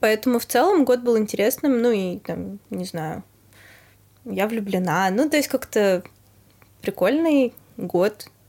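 A woman with a dark, mellow tone and fairly high pitch speaks at a very slow pace with lively intonation and long, frequent pauses. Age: 20s. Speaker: restaurant PR specialist. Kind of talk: casual chat.

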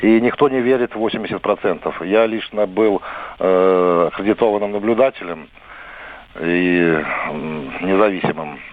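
A man speaks very slowly, with long, frequent pauses and ordinary pitch variation in a fairly low voice. Noticeable background noise runs under the recording. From Belarus, Vitebsk region. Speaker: radio caller, election observer. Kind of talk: call-in to live radio.

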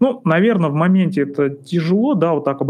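Very fast male speech, fairly high in pitch, its pitch varying in an ordinary way. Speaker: psychologist. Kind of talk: casual monologue. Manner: relaxed.

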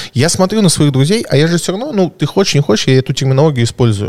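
Rattling along at a very fast pace, a man speaks at a fairly high pitch with lively intonation. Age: 30s. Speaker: private investor. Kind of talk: casual podcast conversation.

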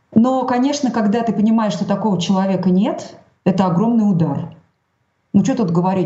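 Speaking at a fairly quick pace, a woman sounds somewhat breathy, her pitch varying in an ordinary way. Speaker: journalist. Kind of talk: interview. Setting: video call.

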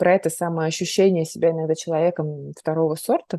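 A woman's dark, mellow tone at a moderate pace, in dry, close sound with no echo. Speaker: podcast host, psychologist. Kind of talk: casual interview chat.

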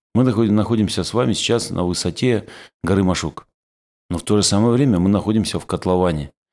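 With an ordinary speaking voice, a man talks at a fairly quick pace and fairly low pitch with ordinary pitch variation, in a very clean recording with a silent background. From Kislovodsk, southern Russia. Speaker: city mayor. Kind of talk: interview.

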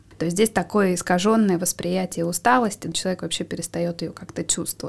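Heard on a very clean recording against a silent background, a woman speaks in a plain, everyday voice at a medium pitch with fairly even intonation. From Siberia, Russia. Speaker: psychologist. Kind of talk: expert interview.

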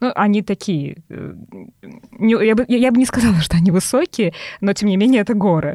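A woman's dark, mellow tone holds very even loudness at a medium pitch. She keeps a moderate pace with ordinary pitch variation. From Tolyatti, Samara region, Russia. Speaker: podcast co-host, sales manager, yoga teacher. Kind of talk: casual chat.

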